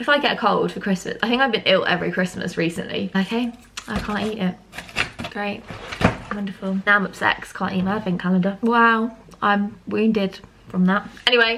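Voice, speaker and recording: With a British accent and a medium pitch, a woman speaks at a fairly quick pace in an animated tone over noticeable background noise. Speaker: vlogger. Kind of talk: casual vlog talk to camera. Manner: chatty, animated.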